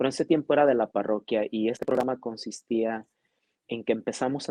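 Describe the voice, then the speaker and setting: With a dry, close sound and no echo, a man speaks at medium pitch with a dark, mellow tone and fairly even intonation. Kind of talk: interview.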